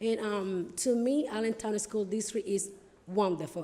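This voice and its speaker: A woman speaks at a medium pitch with a Spanish accent and a dark, mellow tone. Her intonation is fairly even, and audible room echo surrounds her. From Dominican Republic. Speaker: school board candidate. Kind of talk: campaign speech at town hall. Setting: town hall with audience. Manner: hesitant, many fillers.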